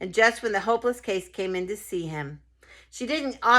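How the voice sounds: The voice reads in a natural way.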